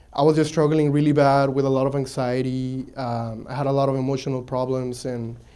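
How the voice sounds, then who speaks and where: In a room with audible echo, a man with a dark, mellow tone talks at a fairly quick pace in a monotone, flat intonation. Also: medium pitch for a man, hardly any pauses. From Mexico, raised partly in south Texas. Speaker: entrepreneur. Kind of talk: pitch-event personal story talk. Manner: hesitant, many fillers and restarts.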